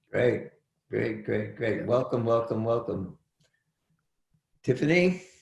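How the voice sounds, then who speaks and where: A man with an American accent speaks at a very slow pace in a medium pitch, leaving long, frequent pauses. His voice is somewhat breathy, with lively intonation. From Brooklyn, New York. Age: 70s. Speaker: college teacher. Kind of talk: class introductions.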